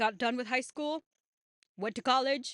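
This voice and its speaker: A woman talks at a moderate pace with a fairly high pitch. The sound is dry and close, with no echo. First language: not English. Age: 20s. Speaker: YouTuber. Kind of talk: casual monologue.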